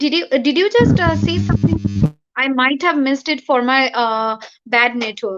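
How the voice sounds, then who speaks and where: Over music in the background, a woman with a Bengali accent speaks at a moderate pace in a high voice with ordinary pitch variation. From India (Bengali-speaking). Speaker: poet. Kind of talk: interview. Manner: halting. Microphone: bad network.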